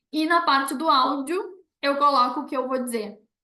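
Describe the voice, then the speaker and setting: A woman's high, bright and sharp voice is raised and projected, with fairly even intonation. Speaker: university professor giving a talk. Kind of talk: online presentation with Q&A. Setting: video call.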